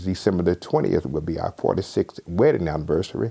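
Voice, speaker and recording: Male speech with ordinary pitch variation, in a Southern US accent. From southwest Georgia, USA. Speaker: retired fraternity elder. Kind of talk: interview answer.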